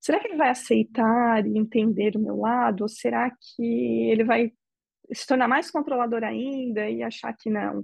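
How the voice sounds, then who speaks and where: A woman speaks in a fairly high pitch. Her pitch variation is ordinary. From Brazil. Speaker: interviewee. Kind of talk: interview testimony. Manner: halting.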